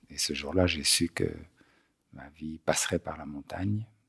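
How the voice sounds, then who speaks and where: Vocal fry runs through a man's very deep, low voice. The sound is dry and close, with no echo. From Belgium, Brussels. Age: 60s. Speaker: polar explorer. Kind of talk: interview. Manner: halting, many hesitations.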